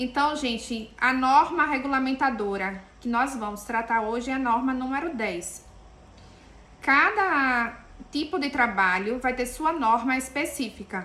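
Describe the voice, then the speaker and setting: A woman's high, raised, projected voice in a Pernambuco accent, at a fairly slow pace with ordinary pitch variation and audible room echo. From Pernambuco, Brazil. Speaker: engineer and safety lecturer. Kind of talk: lecture.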